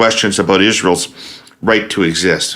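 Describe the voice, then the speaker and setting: Background noise is plain to hear as a man delivers his words at a fairly brisk speed. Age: 60s. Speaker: podcast host. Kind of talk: interview.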